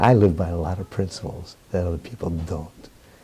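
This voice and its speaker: This man has a very deep, low pitch and keeps a moderate pace. Noticeable background noise sits behind him. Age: 70s. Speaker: Roma professor. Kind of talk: interview. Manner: animated.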